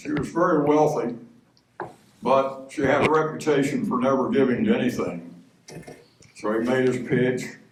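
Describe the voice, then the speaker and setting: With an American accent, a man speaks at a moderate pace in a medium pitch, his intonation lively and the room echo audible. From Texas, Dallas. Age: 80s+. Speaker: retired professor and minister. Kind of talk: speech at a church men's breakfast. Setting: church breakfast with audience.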